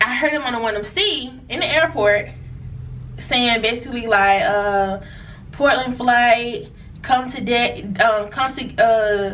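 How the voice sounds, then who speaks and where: A woman with a fairly high pitch speaks in an animated tone with ordinary pitch variation. Audible room echo surrounds her voice. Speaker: merchant seaman vlogger. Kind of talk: storytime monologue. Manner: casual, animated.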